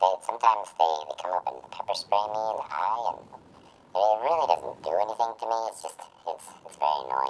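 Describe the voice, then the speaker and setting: The speaker uses a put-on character voice pitched low. The pace is moderate. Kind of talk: comedic character monologue. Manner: rambling, hesitant.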